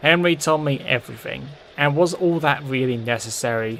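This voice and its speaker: Moderate pace and fairly high pitch in a man's put-on character voice. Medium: audio drama.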